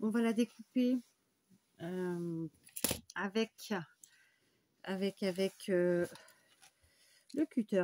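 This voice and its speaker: A dark, mellow tone comes through. There is no echo, and the sound is dry and close. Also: woman. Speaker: crafts tutorial maker. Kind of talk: tutorial. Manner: casual, hesitant with many fillers.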